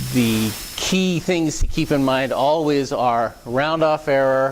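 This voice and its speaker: A man's medium-pitched voice at a very slow pace, with ordinary pitch variation and audible room echo. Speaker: technical speaker at user group. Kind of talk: lecture. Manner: loud; halting, many fillers and repeats.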